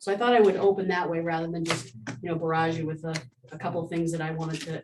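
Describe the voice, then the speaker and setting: At a very fast pace, a woman talks in a fairly low pitch. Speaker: state senator. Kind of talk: address to town board. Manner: loud.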